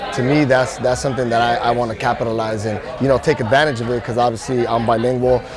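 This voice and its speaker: A man races along at a very fast pace in monotone, flat intonation, with hardly any pauses. Room echo is audible, and crowd noise fills the background. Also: medium pitch for a man. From Los Angeles, South Gate. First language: Spanish. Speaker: musician. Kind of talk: interview.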